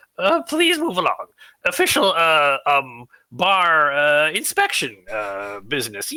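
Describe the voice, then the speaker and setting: This put-on character voice sits at a middle pitch, gravelly and whiny. It moves at a fairly slow pace. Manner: ingratiating, hesitant.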